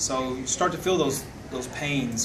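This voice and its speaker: The voice shows ordinary pitch variation. Noticeable background noise can be heard. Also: man. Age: 50s. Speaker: network marketing distributor. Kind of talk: testimony. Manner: halting. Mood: grateful, sincere.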